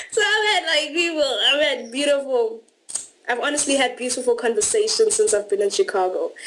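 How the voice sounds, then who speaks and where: A woman speaks at a fairly quick pace in a high pitch with very wide swings, over noticeable background noise. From South Africa, Durban. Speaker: au pair. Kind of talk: interview.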